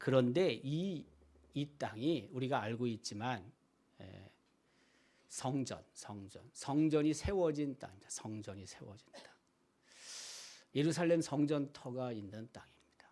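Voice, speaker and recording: With a dark, mellow tone at medium pitch, a man speaks at a very slow pace with long, frequent pauses, lively intonation and big swings in loudness. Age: 60s. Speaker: pastor. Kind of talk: sermon.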